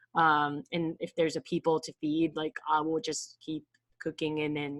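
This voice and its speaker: Speaking at a fairly slow pace, a woman talks with a slight non-native accent. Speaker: online entrepreneur, vlogger. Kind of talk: casual livestream talk. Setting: live stream on camera. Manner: hesitant, many fillers.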